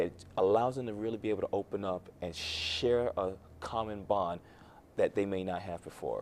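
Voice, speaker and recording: This man has a fairly low pitch and fairly even intonation, and he speaks at a moderate pace. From Miami, Florida. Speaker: youth mentor and financial advisor. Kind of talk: talk show interview.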